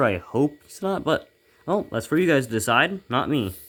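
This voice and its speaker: The recording is very clean, with a silent background. A man of medium pitch speaks with very wide pitch swings. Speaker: miniature painting hobbyist youtuber. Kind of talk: casual hobby showcase talk. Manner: fast; halting, stumbling over words.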